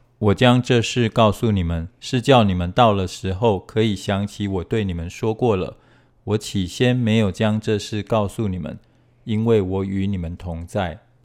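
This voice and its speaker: Here a man speaks at a moderate pace with a fairly low pitch and ordinary pitch variation. The recording is very clean, with a silent background. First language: Chinese. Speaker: scripture reader. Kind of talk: reading aloud.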